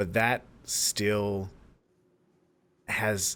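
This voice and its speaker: A man is speaking. His voice is loud. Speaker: podcast co-host. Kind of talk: casual chat. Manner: halting, many fillers.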